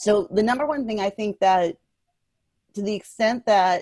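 A woman with a plain, everyday voice at medium pitch, moderate pace and ordinary pitch variation, in a dry, close sound with no echo. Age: 30s. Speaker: entertainment lawyer. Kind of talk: casual interview.

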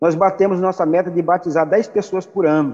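This man has a high pitch and a dark, mellow tone, speaking at a moderate pace with ordinary pitch variation. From Piauí, Brazil (Regeneração). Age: 50s. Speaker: pastor and church planter. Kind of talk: interview testimony.

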